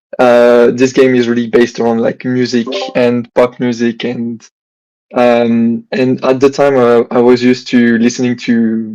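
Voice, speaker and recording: The delivery is monotone and flat, with a French accent. The tone is dark and mellow. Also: man. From France. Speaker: gamer. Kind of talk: casual chat.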